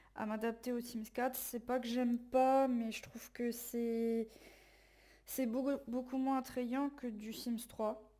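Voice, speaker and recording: A woman with a high pitch speaks at a very slow pace in a dark, mellow tone. Her intonation is monotone and flat. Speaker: let's play gamer. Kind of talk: casual gameplay commentary.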